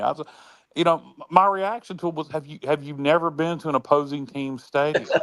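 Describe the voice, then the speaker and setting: A man's fairly high voice in a North Carolina accent, with lively intonation and a fairly quick pace. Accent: US Southern (North Carolina). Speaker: sports talk show co-host. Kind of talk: casual chat. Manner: loud; halting, many fillers.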